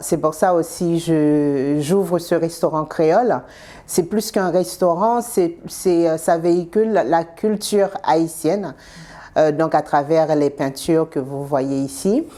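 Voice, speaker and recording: A woman speaks at a very slow pace in a Haitian accent, her fairly low voice dark and mellow. Her loudness stays very even, and her pitch varies in an ordinary way. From Haiti, Port-au-Prince. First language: Haitian Creole (speaking French). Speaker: restaurant owner. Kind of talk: interview.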